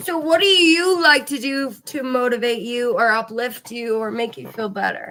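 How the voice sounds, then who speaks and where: This woman's voice is high-pitched, with a bright, sharp tone and lively intonation. Her loudness swings widely and she hardly pauses. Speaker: podcast host. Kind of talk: casual chat.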